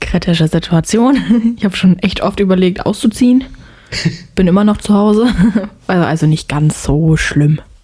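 Noticeable background noise, very even loudness, ordinary pitch variation, a moderate pace, and long, frequent pauses. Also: woman, medium pitch for a woman. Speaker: podcast co-host. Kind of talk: casual chat.

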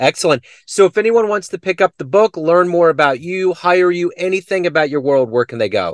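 Speaking with an American accent, a man talks at a fairly quick pace with a high pitch and lively intonation. The sound is dry and close, with no echo. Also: hardly any pauses. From US Midwest. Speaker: podcast interviewer. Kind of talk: casual interview. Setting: remote call.

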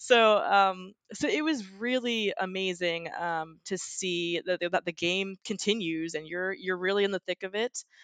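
A woman with a normal speaking voice, medium in pitch, with ordinary pitch variation and hardly any pauses. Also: fairly slow pace. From Florida. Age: 30s. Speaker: former reality game contestant. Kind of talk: casual interview.

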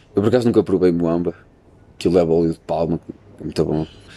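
This man has a dark, mellow tone. He speaks with a European Portuguese accent. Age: 20s. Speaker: university student podcaster. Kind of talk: casual chat. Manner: animated.

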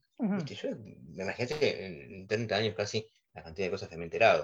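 At a fairly quick pace, a man speaks in an Argentine accent. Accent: Rioplatense Argentine Spanish. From Argentina. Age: 40s. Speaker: music teacher. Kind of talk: interview.

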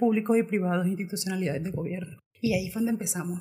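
A woman rattles off her words very quickly against noticeable background noise. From Colombia, Caribbean coast (Montería, Córdoba). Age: 20s. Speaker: LGBTI activist. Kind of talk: podcast interview.

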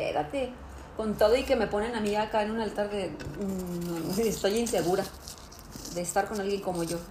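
The speech moves at a moderate pace with ordinary pitch variation and long, frequent pauses, set against noticeable background noise and audible room echo. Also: woman, medium pitch for a woman. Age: 40s. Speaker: podcast co-host. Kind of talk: casual chat. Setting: dinner at a friend's home.

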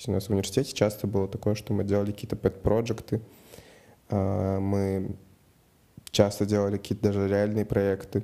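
At a fairly quick pace, a man talks in a fairly low, dark and mellow voice with monotone, flat intonation. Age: 20s. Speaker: project manager. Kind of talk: personal account monologue.

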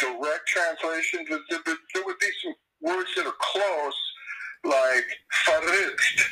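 With an American accent, a man speaks at a fairly slow pace. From Southern California. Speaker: rock guitarist and songwriter, army veteran. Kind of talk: casual interview.

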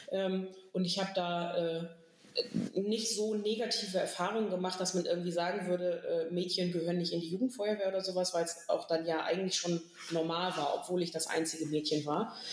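A woman speaks at a moderate pace with a medium pitch and fairly even intonation. Room echo is audible, and background noise is noticeable. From northern Germany, Stade district. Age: 30s. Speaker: volunteer firefighter and youth fire brigade official. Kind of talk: casual chat.

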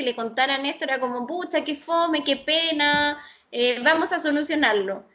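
Speaking fairly slowly, a woman with a Chilean accent uses a high-pitched voice. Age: 30s. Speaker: architect. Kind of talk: interview.

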